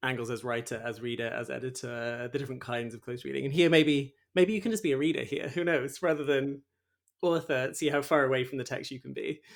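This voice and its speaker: A very fast-talking man with a British accent, a fairly high pitch and ordinary pitch variation. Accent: regional British. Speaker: podcast host. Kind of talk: interview.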